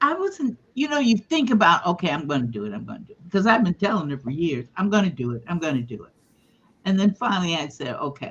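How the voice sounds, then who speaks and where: Delivered at a very fast pace, this voice has vocal fry, big swings in loudness and very wide pitch swings. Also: woman, fairly low pitch for a woman. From Africa. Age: 70s. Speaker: contributing author. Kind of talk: casual interview.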